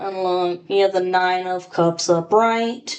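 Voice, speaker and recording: A woman at a medium pitch speaks at a very slow pace. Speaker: tarot reader. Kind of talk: tarot reading. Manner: casual, scattered.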